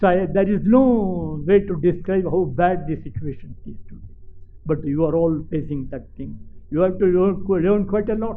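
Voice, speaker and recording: Pitched high for a man, his voice moves at a moderate pace with ordinary variation in pitch and big swings in loudness, over noticeable background noise and audible room echo. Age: 90s. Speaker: retired civil servant. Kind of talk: speech to students. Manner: halting.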